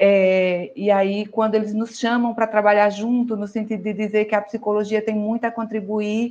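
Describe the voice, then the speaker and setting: In a Brazilian accent, a woman speaks at a moderate pace with a fairly high pitch and monotone, flat intonation. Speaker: psychologist and professional council president. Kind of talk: online panel discussion. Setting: video call livestream.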